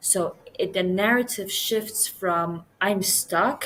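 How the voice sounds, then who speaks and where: A woman with a Persian accent speaks at a medium pitch with fairly even intonation. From Iran. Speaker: podcast guest. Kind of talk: casual conversation.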